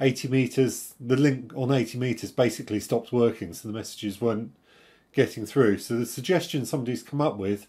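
A man talks with ordinary pitch variation while the background stays quiet. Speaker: radio amateur channel host. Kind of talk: casual tech vlog chat. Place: home room.

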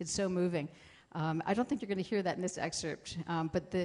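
Over a quiet background, the voice keeps a fairly even intonation. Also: woman. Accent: American. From small-town Pennsylvania. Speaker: composer. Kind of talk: panel discussion.

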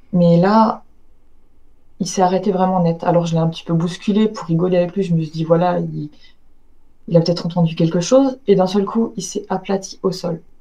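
A woman with a dark, mellow tone and fairly low pitch talks at a fairly quick pace, her intonation fairly even. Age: 30s. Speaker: eyewitness recounting paranormal encounter. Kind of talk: testimony. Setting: video call. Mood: calm storytelling. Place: home room. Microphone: video call.

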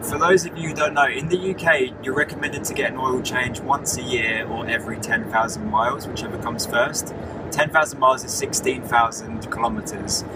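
A fairly quick delivery with hardly any pauses and ordinary pitch variation, dry with no echo, over music in the background. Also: man. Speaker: travel vlogger living in his car. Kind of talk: casual vlog chat. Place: car. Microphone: phone near.

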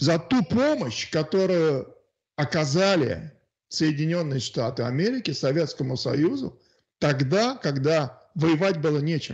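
A man speaks very slowly at a fairly high pitch with lively intonation. His loudness stays very even against a quiet background. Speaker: guest, Russian emigrant in Australia. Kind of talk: casual discussion on politics. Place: home room. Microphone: handheld.

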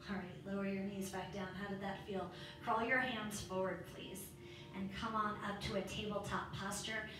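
A woman talks in a flat monotone at medium pitch, with audible room echo and noticeable background noise. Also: moderate pace. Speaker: yoga instructor. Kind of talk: guided yoga class with cueing and a calming mantra. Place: home room.

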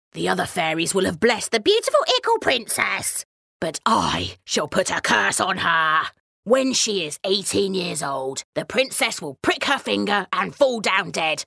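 Using a raspy put-on character voice, a woman talks at a moderate pace and medium pitch. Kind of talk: bedtime story. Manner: spiteful, menacing.

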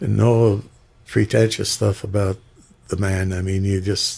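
A man speaks with a fairly low pitch. His voice is somewhat breathy. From Michigan Upper Peninsula (Republic); Michigan. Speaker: singer; guest. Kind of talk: interview. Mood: warm, nostalgic. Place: studio. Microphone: studio mic.

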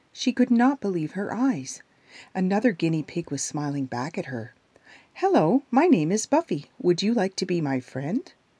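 A woman speaks at a medium pitch in a calm, soothing, dark and mellow tone with very wide pitch swings, and the sound is dry and close with no echo. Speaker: audiobook narrator. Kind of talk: children's story audiobook reading. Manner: calm, soothing, gentle; slow, storytelling, with character voices.

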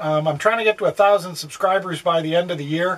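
High-pitched for a man, this voice belongs to a male speaker. He moves along at a fairly quick pace. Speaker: RV travel vlogger. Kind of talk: casual vlog chat. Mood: quiet, others asleep. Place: home room. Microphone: phone near.

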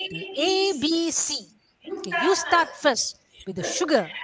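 A woman's fairly bright, high voice moves through big pitch swings at a fairly slow pace, recorded dry and close with no echo.

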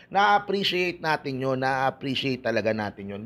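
Fairly quick male speech, pitched in the middle range. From Philippines. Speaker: basketball YouTuber. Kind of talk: casual vlog commentary. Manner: animated. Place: home room. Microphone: earbuds.

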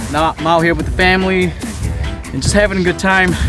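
Fairly quick speech from a man, dry with no echo, over clear music in the background. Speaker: fishing vlogger. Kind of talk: casual vlog chat. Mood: happy, excited. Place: waterside. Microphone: phone near.

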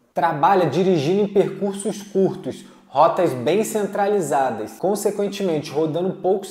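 A man with a high-pitched voice is heard over audible room echo. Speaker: delivery work youtuber. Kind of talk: tutorial-style vlog talk. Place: home room. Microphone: lapel.

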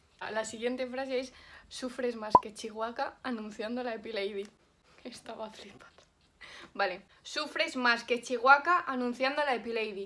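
A high-pitched woman talks at a fairly slow pace with ordinary pitch variation and big swings in loudness. Noticeable background noise can be heard. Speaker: youtuber. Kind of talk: casual talk to camera. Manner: whispered, trying to get a friend to lip-read a phrase. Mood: playful, amused. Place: home room. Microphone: phone near.

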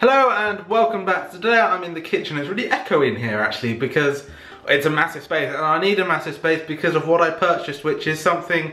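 Talking at a very fast pace with lively intonation, a man is heard with audible room echo. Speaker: vlogger. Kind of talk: casual vlog chat. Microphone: camera far.

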